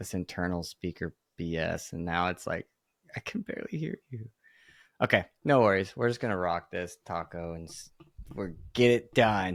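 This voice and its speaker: With a Texan accent, a man talks at a moderate pace in a very deep, low pitch, his loudness swinging widely, in a dry, close sound with no echo on a very clean recording with a silent background. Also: ordinary pitch variation. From Texas. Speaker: podcast host. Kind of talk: casual interview chat.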